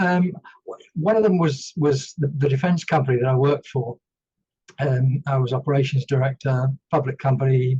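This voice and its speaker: At a moderate pace, the voice has a dark, mellow tone, is somewhat breathy, shows ordinary pitch variation, and sounds dry and close with no echo. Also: man. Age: 60s. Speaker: retired army veteran and former company director. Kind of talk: podcast interview. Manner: hesitant, many fillers.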